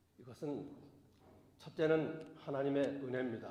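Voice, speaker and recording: Audible room echo surrounds a man's fairly high-pitched voice. He keeps his intonation fairly even. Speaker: pastor. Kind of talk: sermon. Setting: church. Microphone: voice echoing.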